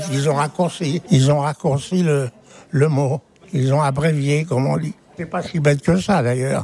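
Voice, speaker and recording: Over noticeable background noise, a man talks at a fairly slow pace. His pitch is fairly high and his intonation fairly even. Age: old. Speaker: interviewee in street poll. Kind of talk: vox pop interview.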